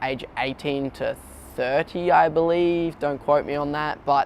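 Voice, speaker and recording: This man, with an Australian accent, has a fairly high pitch. He speaks at a fairly slow pace with fairly even intonation. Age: 20s. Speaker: young entrepreneur. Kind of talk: personal profile interview. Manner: casual, with many fillers.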